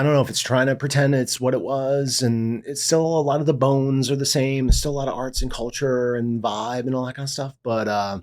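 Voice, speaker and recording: This man has a New York accent and medium pitch. He talks at a fairly quick pace with hardly any pauses. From US Northeast, Long Island, New York. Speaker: journalist and artist. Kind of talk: casual chat. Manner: fast; animated.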